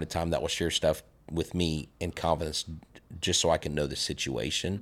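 A man with an American accent talks at a moderate pace with vocal fry. The recording is very clean, with a silent background. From Florida. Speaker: sports podcaster and history teacher. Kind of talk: casual chat. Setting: studio.

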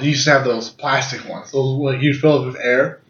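In an animated, somewhat breathy voice, a man talks at a very fast pace. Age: 20s. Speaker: podcast co-host. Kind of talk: casual chat.

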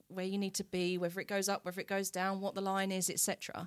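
In a very clean recording with a silent background, a woman speaks with an Essex accent. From Essex, England. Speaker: wellness entrepreneur selling essential oils. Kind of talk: casual interview. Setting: studio.

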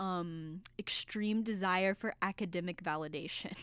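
On a very clean recording with a silent background, an ordinary speaking voice proceeds fairly slowly, its pitch varying in an ordinary way. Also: woman. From US South. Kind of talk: casual chat. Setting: studio.

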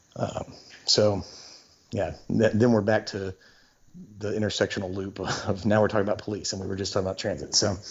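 A man's fairly low voice at a fairly quick pace with monotone, flat intonation. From Shreveport, Louisiana. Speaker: activist and nonprofit organizer. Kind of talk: interview. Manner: hesitant with fillers.

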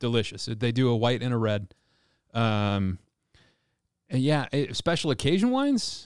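This man speaks at a medium pitch. He leaves long, frequent pauses. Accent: slight Californian. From California. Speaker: chef and restaurant owner. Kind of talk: casual chat. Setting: video call.

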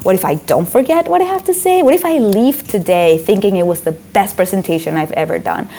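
A woman with a Spanish accent talks at a fairly quick pace with hardly any pauses. Noticeable background noise is present. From Venezuela (Caracas). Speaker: author and motivational speaker. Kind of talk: interview.

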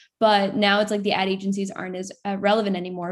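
On a very clean recording with a silent background, a woman talks in a normal speaking voice at a fairly quick pace and a medium pitch. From Florida. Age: 20s. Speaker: content creator. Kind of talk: casual interview.

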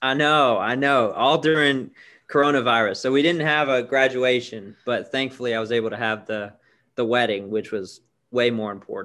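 Here is a man with an unremarkable speaking voice at a medium pitch. He talks at a moderate pace with ordinary pitch variation. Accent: American. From Florida (Tampa). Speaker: church worker. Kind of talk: casual interview chat.

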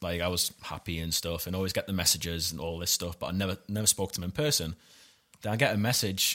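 A man's very deep, low voice at a fairly quick pace, with ordinary pitch variation, in a very clean recording over a silent background. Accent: Geordie. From Newcastle, north-east England. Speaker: stand-up comedian. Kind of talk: casual chat.

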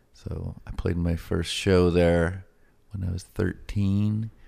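A man speaks in a very deep, low voice that is somewhat breathy. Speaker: rock musician. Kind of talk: casual interview. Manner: halting, repeats words.

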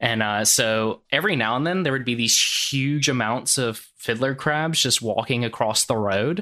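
A man's bright, sharp voice at medium pitch, moderate pace, ordinary pitch variation, very even loudness, hardly any pauses, and a quiet background. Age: 30s. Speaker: fisheries surveyor. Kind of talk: casual chat.

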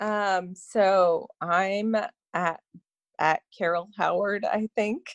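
In an Ontario accent, a woman speaks at a very slow pace with a medium pitch, the sound dry and close with no echo. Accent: Canadian (Ontario) English. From Canada, Toronto. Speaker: fundraising event planner. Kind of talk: casual interview.

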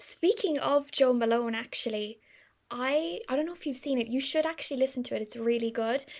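Speaking fairly quickly in a Cork accent, a woman with a high-pitched voice is heard on a very clean recording with a silent background. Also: ordinary pitch variation. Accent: Irish (Cork). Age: 20s. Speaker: podcast co-host. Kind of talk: casual chat.

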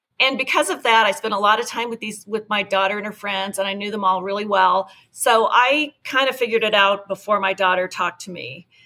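A woman with an American accent speaks at a fairly quick pace and a medium pitch, with ordinary pitch variation. Her tone is bright and sharp, and her loudness swings widely. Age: 50s. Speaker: parent ally advocate. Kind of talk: casual chat.

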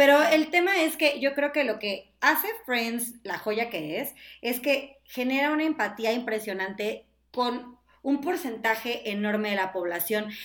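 A woman's high voice at a fairly slow pace, with lively intonation. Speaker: digital sales manager and former TV presenter. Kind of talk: casual chat.

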